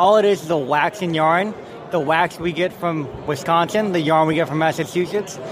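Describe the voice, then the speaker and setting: A man speaks with a high pitch and fairly even intonation. Noticeable background noise runs underneath. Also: moderate pace. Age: 20s. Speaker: toy company representative. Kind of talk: sales pitch.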